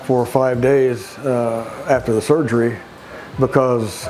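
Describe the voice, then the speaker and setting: A man's medium-pitched voice comes through noticeable background noise, his intonation monotone and flat. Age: 70s. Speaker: physical therapy patient. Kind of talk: testimonial interview. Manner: halting, with many fillers and repeats.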